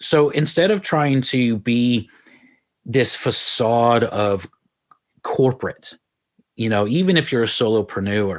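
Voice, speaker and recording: A man with an American accent talks at a very slow pace, leaving long, frequent pauses. His pitch sits in the middle range, and his intonation is lively. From Texas, Houston. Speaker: marketing consultant. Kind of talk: radio interview.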